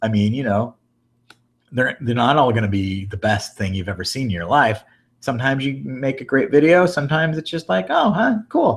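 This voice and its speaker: A man with an American accent speaks at medium pitch, somewhat breathy, with lively intonation. The recording is very clean against a silent background. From Iowa, US Midwest. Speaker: daily vlogger. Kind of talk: live Q&A chat. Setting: live video hangout. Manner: halting, many fillers; casual.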